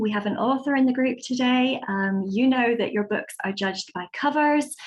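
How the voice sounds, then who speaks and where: A somewhat breathy woman with a British accent and lively intonation. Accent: British, moderate. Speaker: website design consultant. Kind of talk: webinar presentation.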